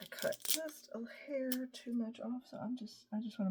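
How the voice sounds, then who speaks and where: Speaking at a moderate pace, a woman mumbles with an American accent. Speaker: scrapbooking product advisor. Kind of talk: craft tutorial. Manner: mumbling; casual, thinking aloud.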